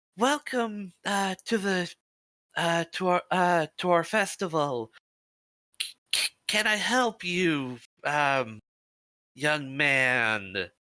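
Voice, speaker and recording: In a strained, high-pitched put-on character voice, a man speaks at a very slow pace with long, frequent pauses. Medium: actual play. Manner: stiffly polite, strained.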